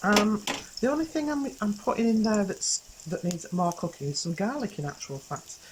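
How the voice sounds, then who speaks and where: A woman whispers at a moderate pace. There is noticeable background noise. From England. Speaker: cooking show host. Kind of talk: cooking demonstration. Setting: outdoors in a garden. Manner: whispering a bit; hesitant, many fillers. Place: garden.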